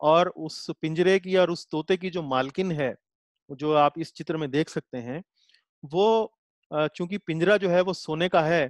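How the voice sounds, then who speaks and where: Over a quiet background, a man with a high pitch talks at a fairly slow pace with fairly even intonation, the sound dry with no echo. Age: 40s. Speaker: Gita teacher. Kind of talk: lecture. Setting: video call. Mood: calm explanatory. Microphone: webcam.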